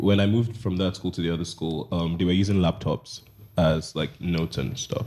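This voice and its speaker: A man with a Nigerian accent speaks at a fairly quick pace in a very deep, low voice with a dark, mellow tone. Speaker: project manager. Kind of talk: casual chat.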